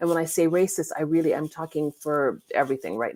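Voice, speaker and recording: A woman with an American accent speaks at a moderate pace in an ordinary speaking voice, her pitch fairly low, the sound dry and close with no echo. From California. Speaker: lawyer and law professor, digital safety consultant. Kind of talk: online summit interview.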